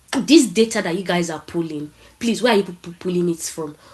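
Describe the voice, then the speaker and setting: A woman's fairly low, dark, mellow voice in a strong Nigerian accent, at a fairly quick pace. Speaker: marketing professional. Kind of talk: panel talk. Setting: online event. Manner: casual, conversational.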